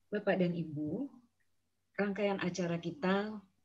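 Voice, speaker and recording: A woman speaks in a somewhat breathy voice, fairly low in pitch, with ordinary pitch variation. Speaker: meeting moderator. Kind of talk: online meeting moderation. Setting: video call. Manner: formal. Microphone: too quiet.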